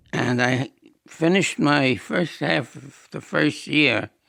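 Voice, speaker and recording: Speaking with an American accent, a man uses a bright, sharp tone with vocal fry. His pace is fairly slow and his intonation lively. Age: 80s+. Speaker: war veteran. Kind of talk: interview testimony.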